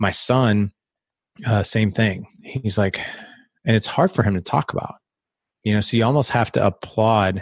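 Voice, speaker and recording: A man speaks at a moderate pace in a normal speaking voice, fairly low in pitch. His intonation is fairly even, and the sound is dry and close with no echo. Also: quiet background. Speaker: podcast host and fathers' coach. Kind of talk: interview.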